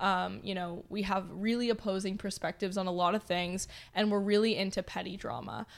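A woman speaks at a fairly quick pace and medium pitch with monotone, flat intonation. The recording is very clean, with a silent background. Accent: Canadian. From Canada, Toronto. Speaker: production company founder and CEO. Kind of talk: casual interview chat.

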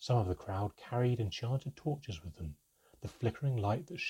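In a natural reading voice, the speaker reads over a quiet background.

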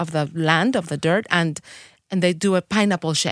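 A woman speaks with a Spanish accent at a fairly low pitch. The recording is very clean with a silent background and has a dry, close sound with no echo. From Mexico City. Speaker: tequila influencer and chef. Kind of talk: casual interview chat. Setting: studio.

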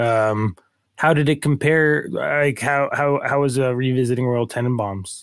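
In a very clean recording with a silent background, a man with a normal speaking voice talks fairly slowly at a medium pitch, with very even loudness and ordinary pitch variation. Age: 30s. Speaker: podcast co-host. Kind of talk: casual chat.

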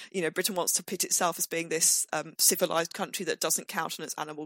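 The recording sounds dry and close with no echo as a woman speaks in an unremarkable speaking voice, fairly low in pitch, with fairly even intonation. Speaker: history professor. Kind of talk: interview storytelling.

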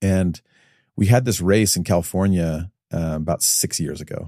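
A man's very deep, low voice with a dark, mellow tone and an American accent, ordinary pitch variation, and a dry, close sound with no echo on a very clean recording over a silent background. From US Midwest, Chicago area. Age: 40s. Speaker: entrepreneur, investor. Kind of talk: casual interview.

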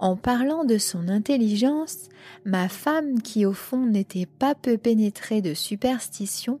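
Very slow and somewhat breathy, a woman speaks in a solemn tone with ordinary pitch variation. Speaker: podcast host reading aloud. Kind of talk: literary horror audiobook reading, first-person gothic narration. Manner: slow, deliberate, solemn storytelling with a grave, suspenseful tone.

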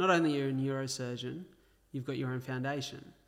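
With an Australian accent, a man talks in a fairly high pitch and fairly even intonation. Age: 20s. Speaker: podcast host. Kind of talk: interview.

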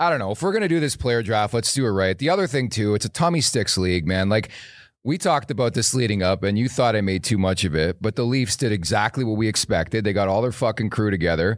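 Very fast speech with lively intonation and very even loudness comes through on a very clean recording with a silent background. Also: man, fairly low pitch for a man. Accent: Canadian. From Canada. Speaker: podcast co-host. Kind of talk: casual chat. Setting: live studio at event. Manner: excitable.

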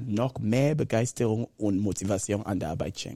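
Here a man speaks with a dark, mellow tone. His pace is moderate, with ordinary pitch variation. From Cameroon. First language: Bakossi (speaking German). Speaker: motivational speaker and consultant. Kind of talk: interview. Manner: animated.

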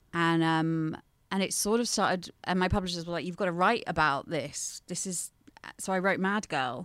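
A woman speaks in a normal speaking voice, fairly low in pitch, with ordinary pitch variation at a moderate pace. The recording is very clean, with a silent background. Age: 30s. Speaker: journalist and mental health campaigner. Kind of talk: casual chat.

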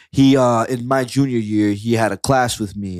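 In a very clean recording with a silent background and a dry, close sound with no echo, a man speaks at a moderate pace with medium pitch, ordinary pitch variation, and an unremarkable speaking voice. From Kissimmee, Florida, Puerto Rican family. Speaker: music producer and rapper. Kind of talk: casual chat.

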